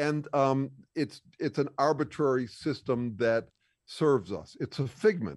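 Lively intonation marks a man's unremarkable speaking voice at a medium pitch. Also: dry, close sound with no echo. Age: 60s. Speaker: bass player and thinker. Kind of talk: casual chat. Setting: video call.

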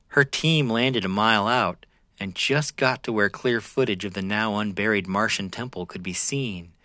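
Over a silent background in a very clean recording, a man with a fairly low pitch and a bright, sharp tone speaks dramatically at a moderate pace with ordinary pitch variation. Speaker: podcast host. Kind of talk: scripted narration of weird fiction story prompts, read aloud. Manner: dramatic, eerie storytelling delivery.

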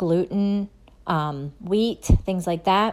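A woman speaks at a fairly slow pace. She has an ordinary speaking voice with ordinary pitch variation. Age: 40s. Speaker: podcast host, holistic health. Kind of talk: solo podcast monologue.

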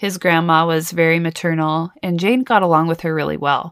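A woman with a normal speaking voice talks at a fairly slow pace with fairly even intonation. The very clean recording has a silent background and a dry, close sound with no echo. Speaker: true crime podcast host. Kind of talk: true-crime narration, scripted storytelling with chatty asides. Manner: measured, serious storyteller pace, conversational; warm, casual, occasionally playful.

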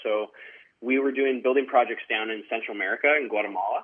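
A man's medium-pitched voice with a western Canadian accent and fairly even intonation. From Canada, Surrey, British Columbia. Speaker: country singer. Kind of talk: interview. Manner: halting, filler-heavy.

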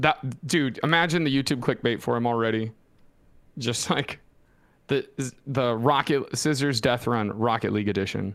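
Delivered at a moderate pace, an ordinary speaking voice shows ordinary pitch variation. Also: man, medium pitch for a man. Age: late 20s. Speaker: esports podcast co-host. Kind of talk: casual chat. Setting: live stream.

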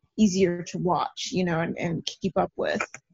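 Somewhat breathy speech from a woman at a moderate pace. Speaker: horror fan guest. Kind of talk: casual chat. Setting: video call.

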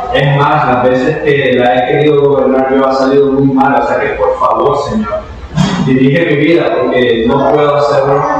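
A man speaks at a moderate pace and a fairly high pitch, his loudness very even. Noticeable background noise runs behind him. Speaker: preacher. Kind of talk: sermon. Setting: church. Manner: animated; exhortative.

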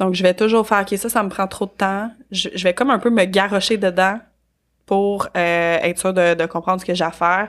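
Spoken in a Quebec accent at a moderate pace, the voice keeps a fairly even intonation on a very clean recording with a silent background. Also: woman, medium pitch for a woman. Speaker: business organization consultant. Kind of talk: casual interview. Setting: studio.

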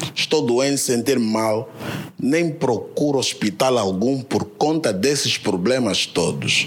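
A man speaks at a medium pitch with ordinary pitch variation. Noticeable background noise runs beneath his voice. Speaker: audience member. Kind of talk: audience question.

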